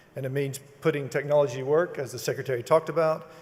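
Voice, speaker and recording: With a Texas accent, a man talks with fairly even intonation. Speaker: toll road company executive. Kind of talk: ceremony speech. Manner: halting.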